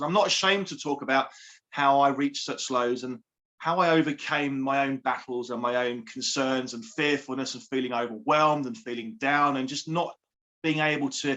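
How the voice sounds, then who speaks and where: A man speaks with a southern English accent. His pitch sits fairly high, with ordinary variation. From southern England, Surrey. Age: 40s. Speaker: life coach and author. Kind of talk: interview. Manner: upbeat.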